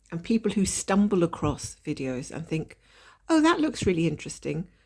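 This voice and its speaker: A woman talks at a fairly quick pace in a somewhat breathy voice of medium pitch with a dark, mellow tone. The recording is very clean, with a silent background. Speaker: craft video creator. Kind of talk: casual chat.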